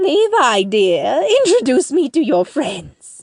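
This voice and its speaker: A woman uses a put-on character voice with a high pitch. She speaks at a fairly slow pace with very wide pitch swings. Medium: audio drama. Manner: doting, eager.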